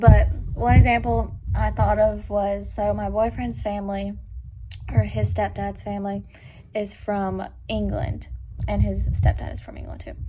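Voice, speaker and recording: In a room with audible echo, a woman speaks at a fairly slow pace with big swings in loudness. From Kentucky, Richmond. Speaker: student. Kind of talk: personal talk recorded for a class. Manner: casual, many fillers.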